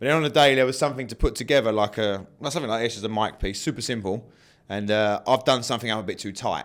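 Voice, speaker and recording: A man speaks very fast with a British accent, his pitch fairly low and its variation ordinary. The recording is very clean, with a silent background. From England. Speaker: martial arts fighter and coach. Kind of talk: interview. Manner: casual, animated.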